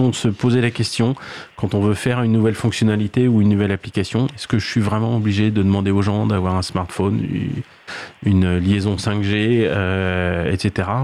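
A man with a normal speaking voice, fairly low pitch for a man, fairly even intonation, and a moderate pace. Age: 50s. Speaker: head of sustainability at a cloud company. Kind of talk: radio panel discussion. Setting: radio studio.

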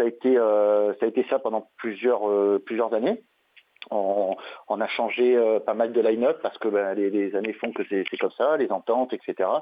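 Speaking at a moderate pace and medium pitch, this man keeps his intonation monotone and flat. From southern France, Marseille area. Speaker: metal band vocalist. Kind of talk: interview. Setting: phone call. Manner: halting, many repetitions.

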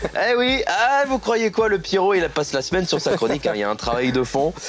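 Over music in the background, a man with a high pitch talks at a moderate pace with very wide pitch swings. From northern France (Picardy). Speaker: humor columnist. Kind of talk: comedic radio chronicle.

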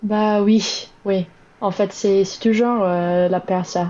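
A woman with a medium pitch. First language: English (speaking French). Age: 20s. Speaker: Biden voter interviewed. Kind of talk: interview. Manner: halting.

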